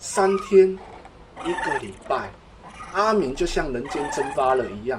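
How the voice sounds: The speaker reads aloud. It is a natural reading voice.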